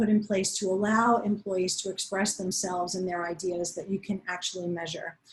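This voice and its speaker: A somewhat breathy woman's voice at a medium pitch, with fairly even intonation. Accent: American. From New York. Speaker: panel moderator. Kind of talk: panel discussion.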